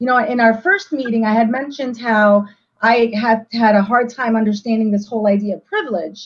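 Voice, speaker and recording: Her voice is somewhat breathy, and this woman speaks at a fairly high pitch. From United States, child of South American immigrants. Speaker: community book discussion participant. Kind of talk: casual group discussion.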